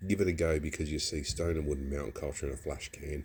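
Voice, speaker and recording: A dark, mellow tone with vocal fry, in an Australian accent. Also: man. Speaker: beer reviewer. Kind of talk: casual review vlog. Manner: casual, rambling with false starts.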